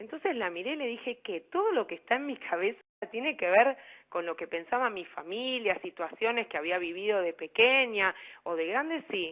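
Her pitch swings very widely as the woman speaks at a moderate pace. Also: fairly high pitch for a woman. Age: 50s. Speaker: life coach. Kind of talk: radio interview.

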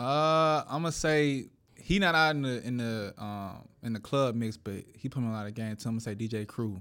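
On a very clean recording with a silent background, a man with an American accent speaks at a medium pitch and moderate pace with ordinary pitch variation. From Atlanta, US South. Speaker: DJ. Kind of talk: casual interview.

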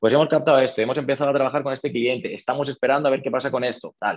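A man's medium-pitched voice at a very fast pace. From Spain, Toledo. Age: 30s. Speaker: real estate investor. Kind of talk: interview.

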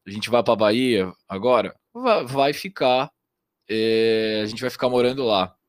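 A man talks at a moderate pace with a medium pitch. His is an ordinary speaking voice. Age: 20s. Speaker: trader. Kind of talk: casual chat.

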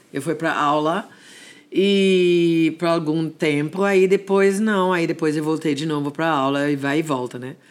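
Recorded very cleanly against a silent background, a woman with an English accent speaks at a fairly slow pace and fairly low pitch, with ordinary pitch variation. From Jamaica. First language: English (speaking Portuguese). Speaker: dance music and gospel singer. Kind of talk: interview.

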